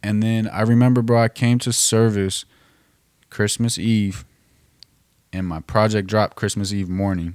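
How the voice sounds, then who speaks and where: With fairly even intonation and a fairly low pitch, a man speaks at a moderate pace broken by long, frequent pauses. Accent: American. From Northern California. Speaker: music producer and artist. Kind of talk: casual chat.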